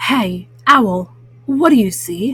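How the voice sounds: A woman uses a put-on character voice with a husky, rough edge. She talks at a slow pace with lively intonation. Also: fairly high pitch for a woman, fairly bright tone.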